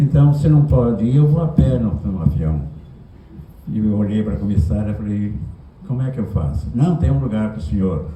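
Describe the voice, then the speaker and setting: Over noticeable background noise and audible room echo, a man speaks with very wide pitch swings. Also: fairly low pitch for a man, moderate pace. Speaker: writer. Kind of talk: anecdote told at a literary talk. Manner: animated.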